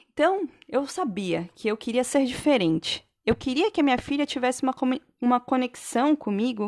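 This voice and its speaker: In a plain, everyday voice, a woman speaks at a moderate pace with lively intonation, the sound dry and close with no echo against a quiet background. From Santa Catarina, southern Brazil. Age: 30s. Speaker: podcast host, physiotherapist and mother. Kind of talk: personal monologue podcast. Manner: casual, conversational.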